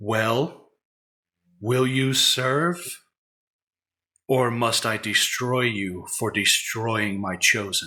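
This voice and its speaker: A man puts on a character voice at medium pitch. He talks at a very slow pace, with long, frequent pauses. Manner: menacing, demanding.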